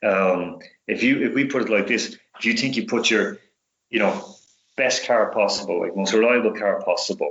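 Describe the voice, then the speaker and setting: Speaking in a Dublin accent, a man keeps a moderate pace. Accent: Irish (Dublin). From Dublin, Ireland. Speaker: sports specialist and radio host. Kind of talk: podcast interview answer. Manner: casual, conversational.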